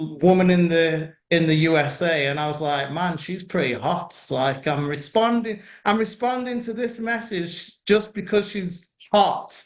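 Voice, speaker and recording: Speaking at a fairly slow pace with hardly any pauses, a man with a British accent uses a high pitch for a man and lively intonation. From UK. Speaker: internet marketer. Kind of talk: interview. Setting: video call.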